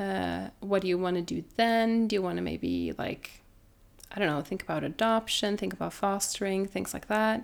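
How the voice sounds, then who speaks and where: Woman with a Norwegian accent at a moderate pace, in a very clean recording with a silent background. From Norway. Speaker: doula. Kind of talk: casual chat.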